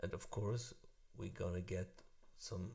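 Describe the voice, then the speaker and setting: This man speaks with a non-native accent. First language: German. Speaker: music tutorial youtuber. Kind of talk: tutorial. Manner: halting, many fillers.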